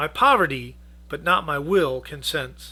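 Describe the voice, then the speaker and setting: A man speaks in a raised, projected, raspy put-on character voice. His pace is moderate, and the recording is very clean with a silent background. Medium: read story.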